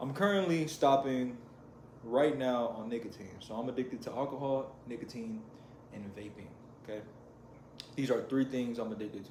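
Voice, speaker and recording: Medium-pitched male speech at a moderate pace, with ordinary pitch variation, big swings in loudness, long, frequent pauses, audible room echo and noticeable background noise. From US, Mexican-American family. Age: 20s. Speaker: vlogger. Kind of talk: personal vlog confession. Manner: casual, rambling with repetitions.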